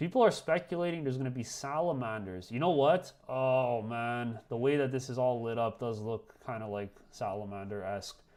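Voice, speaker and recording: On a very clean recording with a silent background, a man at medium pitch talks at a moderate pace with hardly any pauses and ordinary pitch variation. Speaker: streamer hosting a watchalong. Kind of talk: casual live-stream commentary. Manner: loud; excited, animated.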